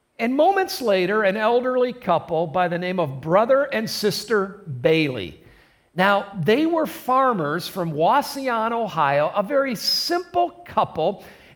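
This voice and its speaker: Very wide pitch swings from a high-pitched man with a Midwestern American accent. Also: fairly slow pace. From US Midwest, southern Michigan. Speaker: pastor. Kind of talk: sermon. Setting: recorded in a church for online service.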